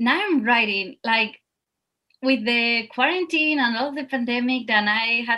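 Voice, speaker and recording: In a Spanish accent, the voice has a bright, sharp tone, ordinary pitch variation and a fairly slow pace. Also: woman. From Spain. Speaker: dancer and actor. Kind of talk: interview.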